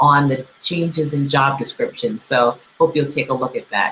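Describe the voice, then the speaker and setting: Light background noise sits behind a woman with a very deep, low voice who speaks at a moderate pace with ordinary pitch variation. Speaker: show host. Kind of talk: host introduction. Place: studio. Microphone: webcam.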